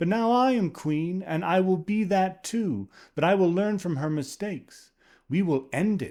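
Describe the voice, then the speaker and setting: In a very clean recording with a silent background, a man puts on a high-pitched character voice. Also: moderate pace. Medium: read story. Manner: proud, decisive.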